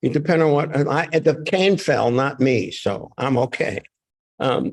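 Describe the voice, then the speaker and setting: A man with vocal fry speaks at a fairly slow pace, his loudness very even and his pitch variation ordinary. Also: fairly high pitch for a man. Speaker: author. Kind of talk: reading event talk.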